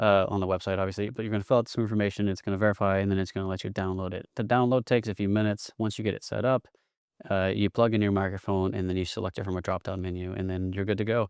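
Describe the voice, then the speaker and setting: Over a quiet background, a man with an East Texas accent talks very fast at a fairly low pitch with fairly even intonation, the sound dry and close with no echo. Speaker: podcast consultant. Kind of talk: tutorial. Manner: casual.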